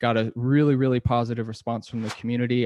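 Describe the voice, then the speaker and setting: Speaking in a flat monotone with an American accent, a man at a medium pitch sounds dry and close with no echo against a quiet background. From US, Rochester, New York. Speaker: podcast host. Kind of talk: podcast interview.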